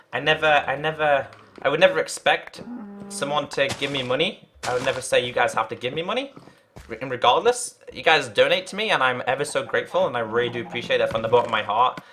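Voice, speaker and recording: Music sits in the background. A man speaks at a very fast pace. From northern England, Liverpool. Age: 20s. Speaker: gaming streamer. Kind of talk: casual live-stream chat. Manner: halting, many fillers and repeats; earnest.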